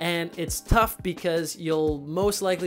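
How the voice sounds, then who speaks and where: Faint music plays in the background. A man speaks with fairly even intonation. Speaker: filmmaker reviewer. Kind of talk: product review. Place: home room. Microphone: lapel.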